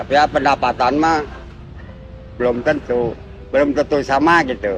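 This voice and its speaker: A man at a moderate pace with fairly even intonation, amid noticeable background noise. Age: old. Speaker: pedicab driver. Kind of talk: interview. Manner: halting.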